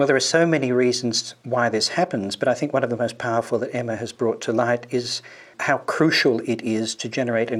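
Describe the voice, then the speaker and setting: This man has a plain, everyday voice at medium pitch. He speaks at a fairly quick pace. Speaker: historian, podcast co-host. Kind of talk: interview.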